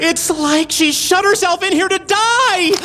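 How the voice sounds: Cartoonish character voice at an extremely high pitch, fairly slow in pace, with clear background noise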